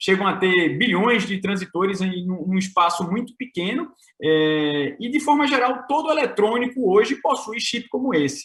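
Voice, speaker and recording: A high-pitched man talks fairly slowly with lively intonation. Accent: Pernambuco. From Brazil, Pernambuco. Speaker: tech company co-founder. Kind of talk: conference presentation. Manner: hesitant, many filler sounds.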